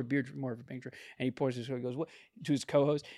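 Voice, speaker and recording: The delivery is animated and very fast, with vocal fry. The recording is very clean, with a silent background. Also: man. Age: 20s. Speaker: podcast co-host. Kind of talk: casual chat.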